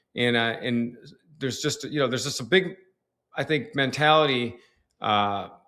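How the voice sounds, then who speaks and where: The voice has an American accent and a bright, sharp tone. The recording is very clean with a silent background. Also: man. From Detroit, US Midwest. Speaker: tax strategist and author. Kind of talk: podcast interview.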